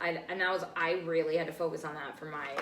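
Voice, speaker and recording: Someone with a Rhode Island accent speaks fairly quickly in a flat monotone. The room echoes audibly, and background noise is noticeable. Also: woman. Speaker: podcast host. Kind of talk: casual chat.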